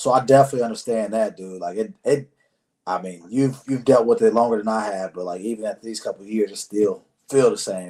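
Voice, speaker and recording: A man talks at a fairly quick pace and medium pitch in an ordinary speaking voice. His loudness swings a lot. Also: ordinary pitch variation. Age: 30s. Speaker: podcast host. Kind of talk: casual interview chat.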